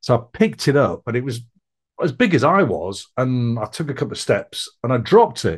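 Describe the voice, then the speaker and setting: The voice is somewhat breathy and moves through very wide pitch swings. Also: man, medium pitch for a man. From Belfast, Northern Ireland. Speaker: founder and speaker telling life story. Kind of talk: interview telling personal story.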